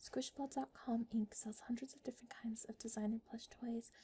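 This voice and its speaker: Soft-spoken words at a fairly quick speed. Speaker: ASMR creator. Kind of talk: reading back-cover text aloud.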